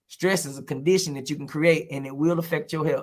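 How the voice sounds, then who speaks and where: With an American accent, the speaker keeps the intonation fairly even. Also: man. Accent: Texas twang, drawn out when relaxed. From Texas, Houston. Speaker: comedian and teacher. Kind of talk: casual interview chat. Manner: loud, outspoken.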